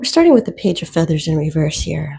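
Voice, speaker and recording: A woman's fairly low, dark and mellow voice, somewhat breathy. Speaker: tarot reader. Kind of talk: tarot reading for viewers. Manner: casual, conversational.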